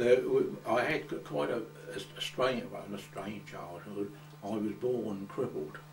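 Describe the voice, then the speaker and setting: Speaking at a fairly slow pace in an Essex accent, a man is heard with audible room echo and noticeable background noise. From England, Coggeshall, Essex. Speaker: oral history interviewee. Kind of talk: oral history interview. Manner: halting, many repetitions.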